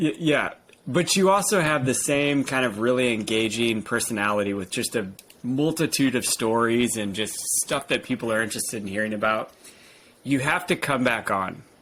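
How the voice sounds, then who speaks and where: The speaker has a normal speaking voice with an American accent. Delivery is at a moderate pace with lively intonation. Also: man, medium pitch for a man. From United States. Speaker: podcast host. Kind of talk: podcast interview.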